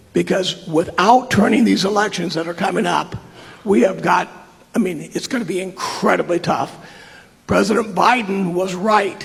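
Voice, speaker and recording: A man with a high pitch talks at a moderate pace with ordinary pitch variation. Noticeable background noise runs underneath. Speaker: constituent asking a question. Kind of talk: town hall question. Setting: high school town hall with audience.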